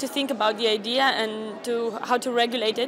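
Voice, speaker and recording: Over music in the background, a woman with a Romanian accent speaks in a high pitch at a moderate pace with fairly even intonation. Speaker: youth delegate. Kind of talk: interview.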